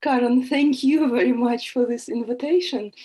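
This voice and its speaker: The voice has a dark, mellow tone. It speaks with a Russian accent. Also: woman. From Russia, Moscow. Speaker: psychologist and speech therapist. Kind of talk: video call interview. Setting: video call. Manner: halting.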